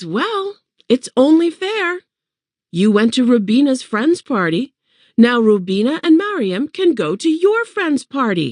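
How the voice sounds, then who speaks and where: A woman uses a put-on character voice pitched high. She speaks at a fairly slow pace with very wide pitch swings. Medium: read story. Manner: firm, no-nonsense.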